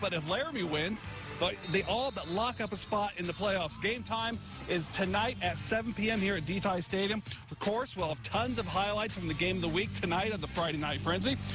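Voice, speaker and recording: Over music in the background, a man with a high pitch talks at a fairly quick pace with lively intonation. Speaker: sports reporter. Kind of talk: local TV sports news report.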